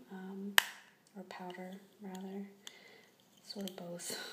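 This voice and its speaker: A soft-spoken woman talks at a medium pitch. There is noticeable background noise. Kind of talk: ASMR product review.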